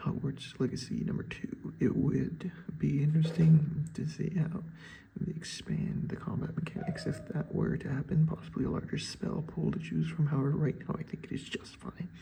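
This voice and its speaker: Whispering, a man speaks at a moderate pace. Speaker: student reading an assignment while gaming. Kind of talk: reading aloud a written essay with asides. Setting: at home at 4 am.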